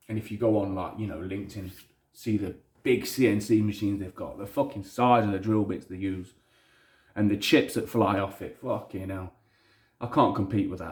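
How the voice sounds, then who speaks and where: A man speaks at a moderate pace in a fairly low, somewhat breathy voice, his intonation fairly even and his loudness swinging widely. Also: very clean recording, silent background. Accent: strong Leicester. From Leicester, England. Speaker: hobbyist maker. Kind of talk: casual vlog. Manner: casual, frequent swearing, rambling.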